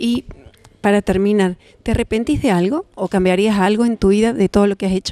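Dark and mellow in tone, a woman speaks at a fairly quick pace with ordinary pitch variation. The sound is dry, with no echo. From Argentina. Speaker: TV show host. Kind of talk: interview. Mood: warm, chatty. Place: hall. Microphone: handheld.

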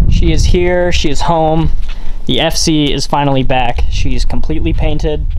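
A man speaks at a moderate pace, with noticeable background noise present. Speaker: car enthusiast vlogger. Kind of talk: casual vlog chat. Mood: pleased, excited. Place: street. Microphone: phone near.

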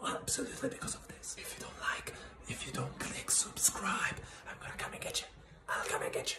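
A man whispers at a fairly quick pace. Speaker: ASMR creator. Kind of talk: fast aggressive ASMR rambling to camera. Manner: fast, aggressive, chaotic, whispered. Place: home room. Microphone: phone near.

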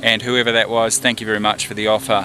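A man with a fairly low pitch and ordinary pitch variation comes through in a dry sound with no echo, with noticeable background noise behind him. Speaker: pilot vlogger. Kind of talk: casual vlog chat. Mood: relaxed, reminiscing. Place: open country. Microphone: phone near.

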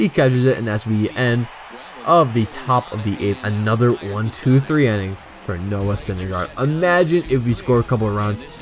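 Over noticeable background noise, a man speaks in an enthusiastic tone at a moderate pace, his medium pitch showing ordinary pitch variation. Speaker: video game YouTuber. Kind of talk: live sports commentary over gameplay, play-by-play of pitches and counts. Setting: gaming video voiceover, playing a baseball game. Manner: steady play-by-play delivery, calling counts and strikeouts, casual and a bit halting; enthusiastic and fan-like, praising the pitcher.

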